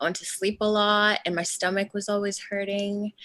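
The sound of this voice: At a fairly slow pace, a woman speaks at a medium pitch in a bright, sharp tone.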